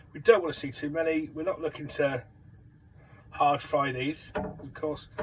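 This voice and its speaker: Speaking with a British accent, a man has a fairly high pitch. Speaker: home cook. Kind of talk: cooking tutorial. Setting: caravan kitchen. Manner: fast.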